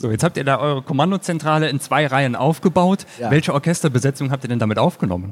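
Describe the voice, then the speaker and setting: With hardly any pauses, a man rattles along at a very fast pace, his fairly high pitch carried by lively intonation. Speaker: podcast host. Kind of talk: casual chat. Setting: stage with audience.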